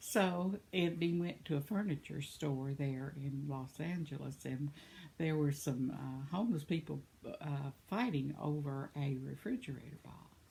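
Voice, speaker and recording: A woman's very deep, low voice, somewhat breathy, at a fairly slow pace with ordinary pitch variation. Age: 70s. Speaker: vlogger. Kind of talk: casual chat. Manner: rambling.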